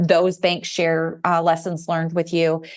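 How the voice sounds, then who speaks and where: Against a quiet background, a woman talks at a fairly low pitch. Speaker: banking regulatory advisor. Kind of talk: podcast interview.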